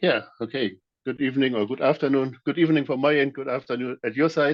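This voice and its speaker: Speaking in a German accent, a man uses a medium pitch with ordinary pitch variation. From Germany. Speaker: security auditor and trainer. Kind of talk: presentation. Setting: video call. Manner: halting, many fillers.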